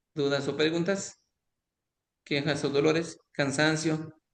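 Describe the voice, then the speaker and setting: Very slowly, a man talks in a fairly high pitch. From Mexico, Quintana Roo. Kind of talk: online lecture.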